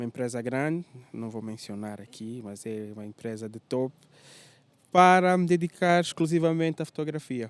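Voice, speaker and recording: In a dry, close recording with no echo, a man with an ordinary speaking voice talks at a medium pitch and a moderate pace, with lively intonation and big swings in loudness. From Angola, Lubango and Luanda. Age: 30s. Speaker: tour guide and photographer. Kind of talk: interview. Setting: hotel.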